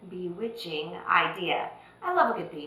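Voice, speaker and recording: A woman with a Texas accent and an animated tone, with audible room echo and noticeable background noise. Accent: Texas drawl. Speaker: dance teacher. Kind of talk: tutorial.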